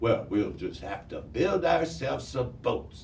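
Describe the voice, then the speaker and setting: A man uses a put-on character voice at a fairly slow pace. Background noise is clearly audible. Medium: read story.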